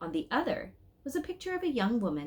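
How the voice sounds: A woman speaks at a fairly slow pace with big pitch swings. Her tone is slightly mellow with a slightly husky edge.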